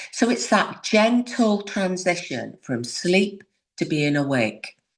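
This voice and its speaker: A woman's medium-pitched voice with vocal fry, very wide pitch swings and a very slow pace. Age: 60s. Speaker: yoga instructor. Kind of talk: casual chat.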